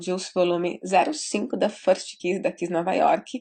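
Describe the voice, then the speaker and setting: A woman talks at a moderate pace and medium pitch. Her tone is animated. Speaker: beauty vlogger. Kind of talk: makeup tutorial.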